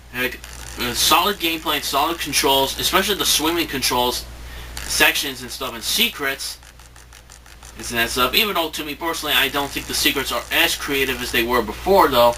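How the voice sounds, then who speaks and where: A fairly high-pitched man with lively intonation at a fairly quick pace, against noticeable background noise. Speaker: video game reviewer. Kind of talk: spoken review to camera. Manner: halting, many fillers and restarts.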